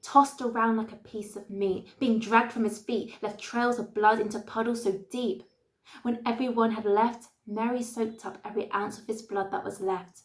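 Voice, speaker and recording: Her fairly high pitch somewhat breathy, a woman speaks with monotone, flat intonation. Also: moderate pace. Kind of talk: spoken word poetry performance.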